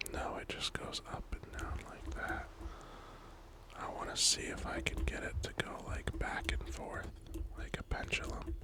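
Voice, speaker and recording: Whispered words come at a fairly slow pace, with noticeable noise behind them. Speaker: ASMR gaming creator. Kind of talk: ASMR gameplay commentary.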